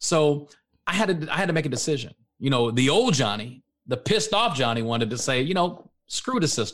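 Swinging very widely in pitch, a man with an American accent talks at a fairly quick pace in a fairly high register. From Texas, Dallas-Fort Worth area. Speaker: author and motivational speaker. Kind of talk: interview. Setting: studio.

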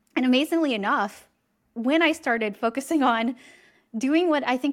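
In a West Coast US accent, the speaker sounds animated, with lively intonation, on a very clean recording with a silent background. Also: woman. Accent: General American, West Coast. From California. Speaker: executive coach and author. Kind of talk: interview.

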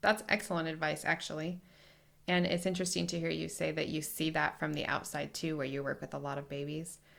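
A woman speaks at a fairly quick pace with a very deep, low pitch and vocal fry. Her intonation stays fairly even. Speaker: lactation consultant podcast host. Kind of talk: casual interview.

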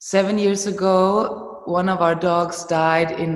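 In a German accent, a woman speaks at a very slow pace with fairly even intonation. Audible room echo surrounds her voice. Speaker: movement teacher and trainer. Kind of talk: interview.

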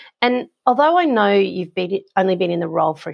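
A woman with an Australian accent, medium pitch and lively intonation. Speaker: property management coach. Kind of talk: advice Q&A monologue.

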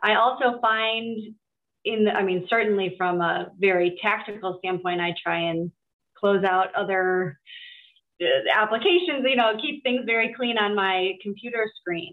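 This woman talks at a fairly slow pace with a medium pitch, ordinary pitch variation and a normal speaking voice. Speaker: group coach. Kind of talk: interview.

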